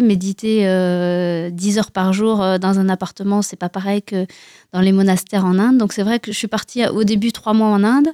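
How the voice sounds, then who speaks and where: In a very clean recording with a silent background, a woman speaks at a medium pitch with a dark, mellow tone and fairly even intonation, the sound dry and close with no echo. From France. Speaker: Buddhist lama and author. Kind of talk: radio interview.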